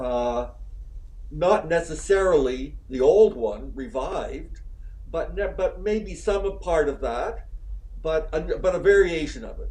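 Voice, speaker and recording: A man talks fairly slowly as room echo rings clearly around him. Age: 70s. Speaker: author and scholar on gender. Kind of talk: interview conversation. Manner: halting, with frequent repetitions.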